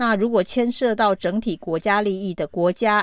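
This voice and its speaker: In a normal speaking voice, the speaker goes at a fairly slow pace with ordinary pitch variation, on a very clean recording with a silent background. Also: woman. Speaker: political commentary podcast host. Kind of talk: solo news commentary.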